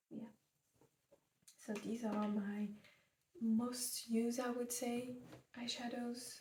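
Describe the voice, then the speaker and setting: The soft-spoken voice moves at a very slow pace with monotone, flat intonation. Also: woman. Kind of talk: ASMR makeup collection talk.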